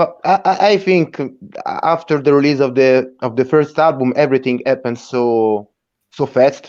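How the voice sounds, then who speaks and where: A man with an Italian accent speaks at a moderate pace with very even loudness and ordinary pitch variation. The background is quiet. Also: fairly high pitch for a man. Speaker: rock band member. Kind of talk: interview. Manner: halting, many repeated words.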